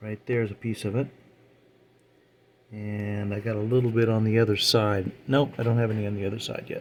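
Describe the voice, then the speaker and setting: Noticeable background noise sits behind this recording. A man talks at a fairly quick pace in a medium pitch. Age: 70s. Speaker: scale model builder. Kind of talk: casual hobby tutorial talk. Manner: relaxed, hesitant.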